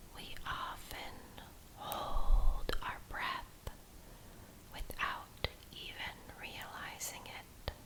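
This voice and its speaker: Whispering comes at a very slow pace with long, frequent pauses over noticeable background noise. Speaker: ASMR creator, meditation guide. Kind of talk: guided relaxation meditation for sleep. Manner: whispered; slow, calm, soothing.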